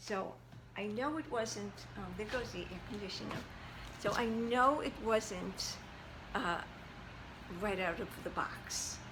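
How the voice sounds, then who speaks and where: A woman speaks fairly slowly at a medium pitch, with ordinary pitch variation and long, frequent pauses. The room echo is audible and the background noise is noticeable. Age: 70s. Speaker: fashion vlogger. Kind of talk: casual chat. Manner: halting.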